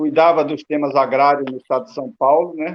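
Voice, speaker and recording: This is a man talking. His pace is moderate. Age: 60s. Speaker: retired metalworker and union activist. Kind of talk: panel discussion.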